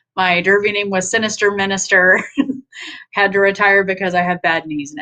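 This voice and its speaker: A woman of medium pitch with an American accent, bright and sharp in tone, her intonation fairly even. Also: fairly quick pace. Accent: Southern accent only when upset. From Nashville, Tennessee, US South. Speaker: online community director. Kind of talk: casual self-introduction.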